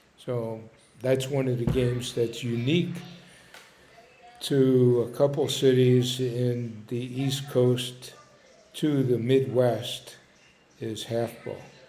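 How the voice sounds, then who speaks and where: With an American accent, a man speaks very slowly at medium pitch in a flat monotone, leaving long, frequent pauses amid audible room echo and noticeable background noise. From Philadelphia, North Philly. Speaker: storyteller. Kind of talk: personal reminiscence monologue. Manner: hesitant, with fillers.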